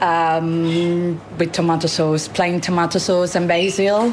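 Through noticeable background noise and audible room echo, a woman with an Italian accent speaks at a very slow pace, her fairly low pitch held in fairly even intonation. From Sorrento, southern Italy. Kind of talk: interview.

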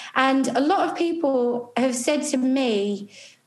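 This woman has a high-pitched voice. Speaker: author and founder, events diversity campaigner. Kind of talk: casual interview, sweary.

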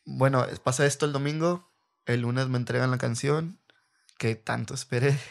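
A man with a normal speaking voice, medium pitch, fairly even intonation and moderate pace, on a very clean recording with a silent background. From Reynosa, Tamaulipas, Mexico. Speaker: rapper and former freestyler. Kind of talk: casual interview. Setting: at his home.

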